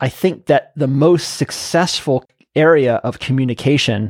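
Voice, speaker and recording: On a very clean recording with a silent background, a man speaks at a moderate pace in an unremarkable speaking voice of medium pitch and ordinary pitch variation. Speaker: podcast host. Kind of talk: interview conversation, casual banter.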